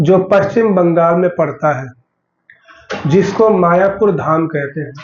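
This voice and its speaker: High-pitched for a man, his voice moves very slowly with ordinary pitch variation amid audible room echo. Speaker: religious lecturer. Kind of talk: sermon.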